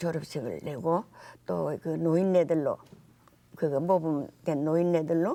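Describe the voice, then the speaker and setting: In a very clean recording with a silent background, a woman with a fairly low pitch and a dark, mellow tone speaks at a fairly slow pace, leaving long, frequent pauses. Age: 80s+. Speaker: philanthropist. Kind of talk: interview answer.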